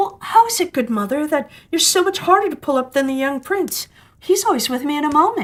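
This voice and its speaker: This woman's high, squeaky voice is a put-on character voice. She talks at a fairly quick pace. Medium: read story.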